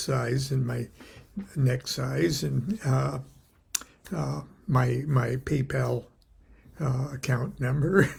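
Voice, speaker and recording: A somewhat breathy voice with an American accent. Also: man. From US West Coast, Long Beach, California. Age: 70s. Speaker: occult author and teacher. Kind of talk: casual daily livestream talk. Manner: halting, many fillers.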